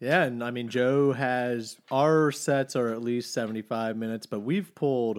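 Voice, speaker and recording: A man with an American accent talks at a fairly slow pace in a medium pitch. He has an ordinary speaking voice, and the recording is very clean with a silent background. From Texas. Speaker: bass player. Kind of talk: casual chat. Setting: studio.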